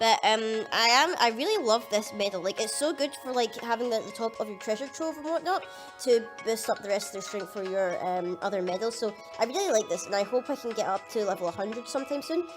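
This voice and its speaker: Music plays behind a woman with a fairly high pitch. She talks at a very fast pace, her pitch swinging very widely. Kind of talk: casual gaming commentary.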